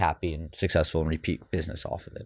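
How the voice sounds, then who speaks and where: A man with an American accent talks in a very deep, low register, recorded very cleanly over a silent background. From US South, Houston, Texas. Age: 30s. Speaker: startup founder and CEO. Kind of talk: interview.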